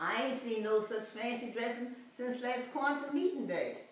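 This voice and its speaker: Fairly slow speech from a woman with a high voice and very wide pitch swings, against noticeable background noise. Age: 80s+. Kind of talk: poetry reading.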